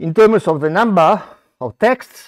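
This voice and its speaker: Someone speaks at a very slow pace with an Italian accent, the sound dry and close with no echo. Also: man. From Italy. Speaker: scholar presenting a conference paper. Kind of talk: conference talk. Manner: halting.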